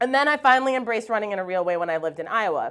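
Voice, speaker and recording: A woman with an American accent at a fairly high pitch, her voice swinging very widely, in a very clean recording with a silent background. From Wisconsin. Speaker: university administrator. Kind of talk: personal storytelling talk.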